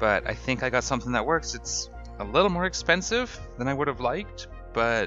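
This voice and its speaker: Fairly quick male speech over music in the background. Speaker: gaming YouTuber. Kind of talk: gameplay commentary. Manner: casual, upbeat.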